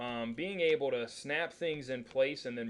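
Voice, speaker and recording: At a moderate pace comes a normal speaking voice. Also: man. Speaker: 3D modeling instructor. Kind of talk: tutorial.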